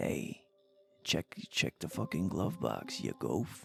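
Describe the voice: Faint music plays behind a man doing a raspy, put-on character voice. He speaks very slowly at a very deep, low pitch.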